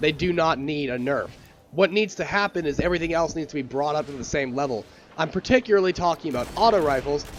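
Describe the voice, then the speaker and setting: Speaking at a very fast pace, a man with a fairly high pitch and ordinary pitch variation is heard over noticeable background noise. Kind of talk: gaming commentary to camera.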